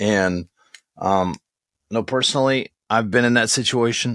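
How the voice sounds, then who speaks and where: A man speaks at a fairly slow pace with ordinary pitch variation. The sound is dry and close, with no echo. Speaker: podcast co-host, radio veteran and audiobook narrator. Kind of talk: casual podcast interview. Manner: animated, enthusiastic.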